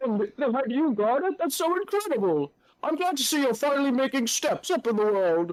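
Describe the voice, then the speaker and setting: A put-on character voice speaks high-pitched at a fairly quick pace. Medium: actual play. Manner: hearty, effusive.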